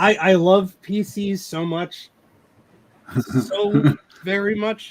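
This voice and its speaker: A put-on character voice sounds strained and moves at a very slow pace. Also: man, high pitch for a man. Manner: through gritted teeth, strained forced affection.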